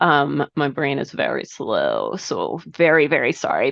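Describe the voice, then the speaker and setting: There is noticeable background noise in this clip. A woman speaks at a fairly slow pace. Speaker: meeting facilitator. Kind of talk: online meeting presentation. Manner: halting, many fillers.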